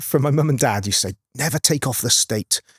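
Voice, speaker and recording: A man's voice with vocal fry and lively intonation, the sound dry and close with no echo. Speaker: car event organiser, former motocross rider. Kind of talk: casual chat. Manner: halting.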